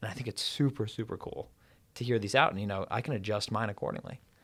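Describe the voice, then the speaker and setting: A man with an American accent and an ordinary speaking voice, fairly low in pitch, at a fairly quick pace with ordinary pitch variation. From US South, Atlanta Georgia. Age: 20s. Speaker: university student and entrepreneur. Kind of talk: casual interview chat.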